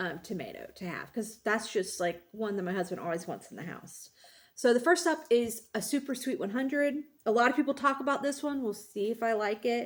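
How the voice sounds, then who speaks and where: Lively intonation carries a plain, everyday voice at a fairly quick pace. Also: woman, fairly high pitch for a woman. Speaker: gardening YouTuber. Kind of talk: casual monologue. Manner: many fillers and restarts.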